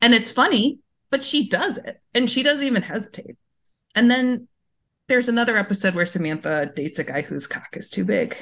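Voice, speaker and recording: Speaking at a fairly quick pace, a woman uses very wide pitch swings and vocal fry. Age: 30s. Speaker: game bundle organizer and science reporter. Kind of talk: casual chat.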